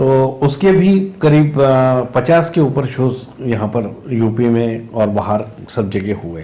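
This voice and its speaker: A man with a Marathi accent speaks at medium pitch, with audible room echo around him. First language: Marathi (speaking Hindi). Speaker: theatre actor and director. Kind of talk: interview. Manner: hesitant, many fillers.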